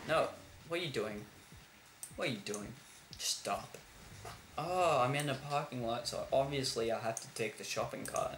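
With an Australian accent and long, frequent pauses, a man speaks amid light background noise and audible room echo. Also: moderate pace. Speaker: gaming YouTuber. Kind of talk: gameplay commentary. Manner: animated, frequent laughter.

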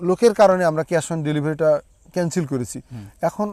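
A dark, mellow tone in a dry, close sound with no echo. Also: man. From Bangladesh, Meherpur. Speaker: orange farmer and orchard owner. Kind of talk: casual interview during an orchard tour. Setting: outdoors in an orchard.

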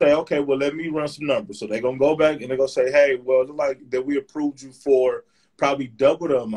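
Over a quiet background, a man with an American accent talks very fast at a fairly high pitch, using ordinary pitch variation while his loudness swings sharply. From Michigan, Flint; Michigan. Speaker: real estate investor; guest. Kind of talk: live stream discussion. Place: home room. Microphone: video call.

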